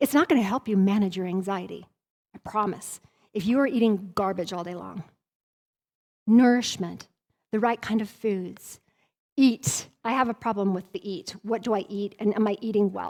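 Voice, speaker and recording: With an American accent and an animated tone, a woman speaks at a moderate pace in a medium pitch with ordinary pitch variation and long, frequent pauses. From Colorado and Wyoming. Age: 50s. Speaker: trauma recovery coach. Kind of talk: workshop talk.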